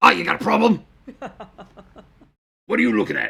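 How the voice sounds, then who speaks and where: A raspy, gravelly put-on character voice moves at a moderate pace. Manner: mean-spirited, confrontational.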